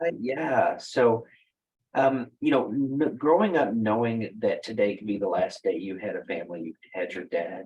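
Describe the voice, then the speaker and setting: A man with a Texas accent speaks at a moderate pace. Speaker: wellness company founder. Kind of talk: interview conversation.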